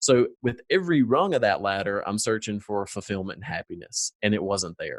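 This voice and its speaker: With a strong Southern US accent, the speaker talks at a fairly quick pace with hardly any pauses and big swings in loudness, in a dry, close sound with no echo. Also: man. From US South, North Carolina foothills. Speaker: former corporate manager, business owner. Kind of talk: interview conversation.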